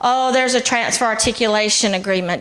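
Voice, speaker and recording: A woman's fairly high voice with fairly even intonation, amid noticeable background noise. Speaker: college transfer program director. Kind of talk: informational presentation. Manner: loud.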